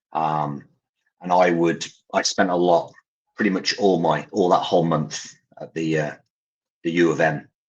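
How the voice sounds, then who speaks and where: Speaking with an English accent, a man uses a very deep, low pitch at a moderate pace. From English Midlands, Coventry. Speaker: parent caregiver, charity founder. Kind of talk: interview storytelling. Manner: hesitant, many fillers.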